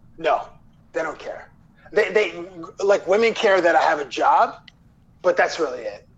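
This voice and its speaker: A man talks at a moderate pace with long, frequent pauses over noticeable background noise. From Toronto, Canada. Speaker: sports TV interviewer. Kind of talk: casual interview chat.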